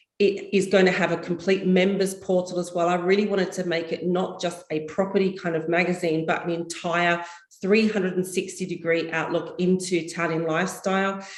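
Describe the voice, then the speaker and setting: Over noticeable background noise, a woman talks at a fairly quick pace with hardly any pauses in a fairly low pitch. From Australia (Perth). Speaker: property consultant. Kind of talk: interview. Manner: animated.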